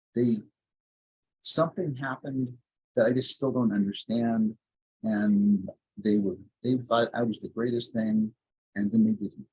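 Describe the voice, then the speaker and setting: A man with a medium pitch speaks at a fairly slow pace, leaving long, frequent pauses. His intonation is fairly even, and the sound is dry and close with no echo. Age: 60s. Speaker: brain health coach and former psychotherapist. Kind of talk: podcast interview, personal story. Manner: hesitant, many fillers.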